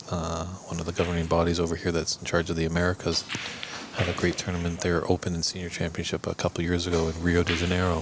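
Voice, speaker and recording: Very deep, low-pitched man with a Canadian accent, very fast and monotone, over noticeable background noise. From Canada. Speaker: snooker commentator. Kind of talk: live sports commentary. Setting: commentary booth.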